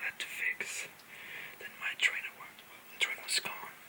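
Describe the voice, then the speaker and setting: Against noticeable background noise, a woman speaks in a whisper. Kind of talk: casual whispered chat to camera. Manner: whispered.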